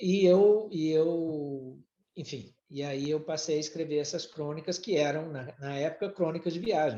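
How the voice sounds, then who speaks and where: At a fairly slow pace, a man with a slight Brazilian accent speaks at a fairly high pitch with ordinary pitch variation. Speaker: former executive and writer. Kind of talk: podcast interview. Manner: halting, many repetitions.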